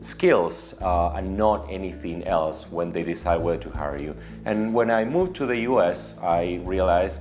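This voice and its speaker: Music plays in the background. A man with a very deep, low pitch talks with lively intonation. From Argentina. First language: Spanish. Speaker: media executive. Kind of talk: personal story to camera.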